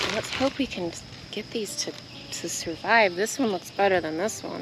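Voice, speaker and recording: Here a woman speaks at a medium pitch and a moderate pace. Background noise is noticeable. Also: ordinary pitch variation. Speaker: gardening vlogger. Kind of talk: casual vlog talk.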